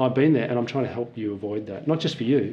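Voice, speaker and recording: With an Australian accent, a man talks in a mid-range register. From rural Australia, near Melbourne. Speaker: forester and nonprofit founder; interview guest. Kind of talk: interview. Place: office. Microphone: lapel.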